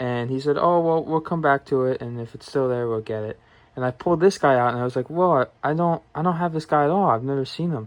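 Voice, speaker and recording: A man mumbles at a very fast pace. His fairly high pitch shows ordinary variation. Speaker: toy collector. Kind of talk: casual talk to camera. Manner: mumbling.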